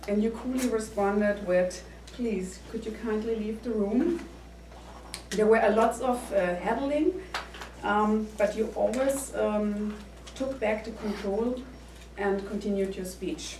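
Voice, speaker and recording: A woman with a German accent and a fairly high pitch, fairly slow with long, frequent pauses and ordinary pitch variation, amid audible room echo and noticeable background noise. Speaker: speech evaluator. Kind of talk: speech evaluation. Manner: halting.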